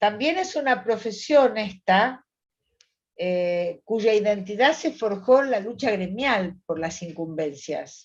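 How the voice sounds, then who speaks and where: Very slowly, a woman speaks in a Rioplatense accent with lively intonation at a fairly high pitch. The background is quiet. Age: 70s. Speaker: psychologist. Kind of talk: interview conversation.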